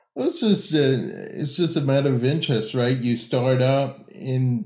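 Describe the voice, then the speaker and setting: A man with an unremarkable speaking voice, ordinary pitch variation, and an American accent. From Tampa, Florida. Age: 30s. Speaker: music YouTuber. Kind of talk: casual chat.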